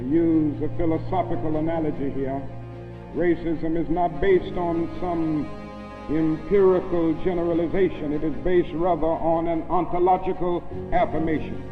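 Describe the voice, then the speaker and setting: Over music in the background, a man with a fairly high pitch talks at a moderate pace in a flat monotone. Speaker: civil rights leader giving a public speech. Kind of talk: oratory, university lecture speech.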